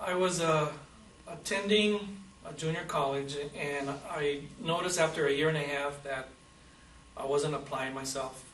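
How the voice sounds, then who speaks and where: Over noticeable background noise and audible room echo, a man speaks at a moderate pace and fairly high pitch, with ordinary pitch variation and long, frequent pauses. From Southern California (Brawley, Imperial Valley), Mexican-American family. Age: 50s. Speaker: war veteran. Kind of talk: oral history interview. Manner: halting, with frequent fillers and repeats.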